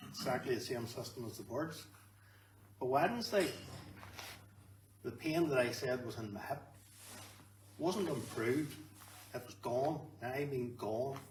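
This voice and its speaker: With a Northern Irish accent, a man speaks at a moderate pace with ordinary pitch variation and long, frequent pauses, amid noticeable background noise and audible room echo. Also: medium pitch for a man. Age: 60s. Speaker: canary breeder. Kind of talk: testimony.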